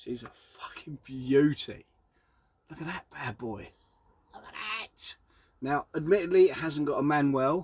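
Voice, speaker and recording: A man with an Essex accent and a fairly high pitch speaks at a fairly slow pace with ordinary pitch variation, big swings in loudness, and long, frequent pauses. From Essex, England. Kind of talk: casual, excited, profane.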